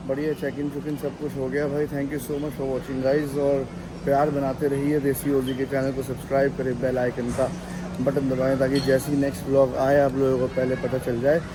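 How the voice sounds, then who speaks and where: Fairly high-pitched male speech, monotone and flat, at a moderate pace over noticeable background noise. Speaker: travel vlogger. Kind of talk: vlog narration. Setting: airport and flight travel.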